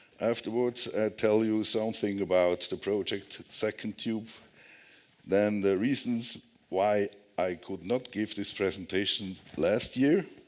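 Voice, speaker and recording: A man with a Swiss German accent, at a fairly slow pace and with fairly even intonation. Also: fairly low pitch for a man, very clean recording, silent background. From Switzerland. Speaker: tunnel engineer. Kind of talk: conference presentation. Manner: halting.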